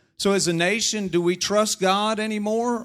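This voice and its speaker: Speaking at a moderate pace in an American accent, a man comes through on a very clean recording, the background silent. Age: middle-aged. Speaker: politician. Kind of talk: sermon. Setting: church. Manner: animated.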